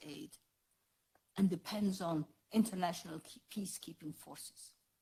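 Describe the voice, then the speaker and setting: A woman's somewhat breathy voice has a dark, mellow tone. Her intonation is lively and her pace moderate. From Somaliland. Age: 80s+. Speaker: politician. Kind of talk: speech. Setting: parliament chamber. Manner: formal.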